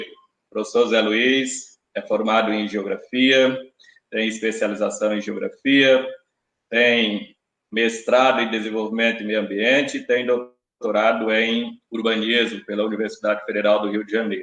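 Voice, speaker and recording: The speech comes at a fairly slow pace. Its intonation is monotone and flat. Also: man, medium pitch for a man. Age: 50s. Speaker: election candidate, teacher. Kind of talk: debate opening statement. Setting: live-streamed debate. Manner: formal.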